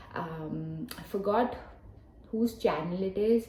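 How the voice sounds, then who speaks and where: A woman talks with a Telugu accent. Noticeable background noise runs behind her. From Hyderabad, southern India. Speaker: book vlogger. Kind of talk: casual vlog talk to camera. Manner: casual, with frequent fillers.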